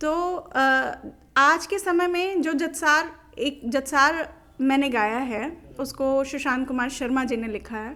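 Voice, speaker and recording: Raising and projecting her voice, a woman speaks with a high pitch, a bright, sharp tone and ordinary pitch variation. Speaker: Bhojpuri folk singer. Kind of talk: interview answer.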